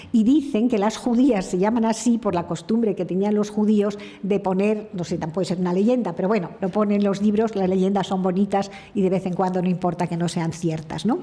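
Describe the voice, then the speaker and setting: A woman speaks fairly quickly at medium pitch with fairly even intonation. Noticeable background noise and audible room echo surround her. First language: French (speaking Spanish). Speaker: speaker at a heritage conference. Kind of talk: conference talk. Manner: halting.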